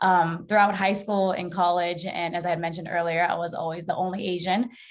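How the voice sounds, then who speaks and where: A woman speaks at a fairly low pitch with an ordinary speaking voice. Her pace is fairly quick and her intonation fairly even. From Mesa, Arizona. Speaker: sport and social justice advocate. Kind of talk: panel discussion.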